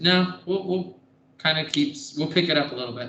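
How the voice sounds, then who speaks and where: Audible room echo surrounds a man who speaks fairly quickly with a fairly high pitch. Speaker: math teacher. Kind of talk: classroom lecture. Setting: classroom.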